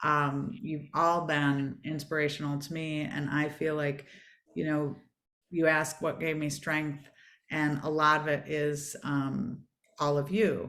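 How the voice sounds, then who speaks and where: A woman with a Michigan accent speaks at a fairly slow pace in a very deep, low voice, with audible room echo. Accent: Michigan twang. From US Midwest, Michigan. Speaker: former space agency executive and author. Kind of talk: online panel conversation.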